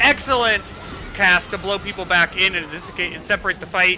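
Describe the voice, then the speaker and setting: Noticeable background noise sits under this man's voice. His pitch varies in an ordinary way. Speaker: esports caster. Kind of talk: live commentary. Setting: live stream. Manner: fast; animated.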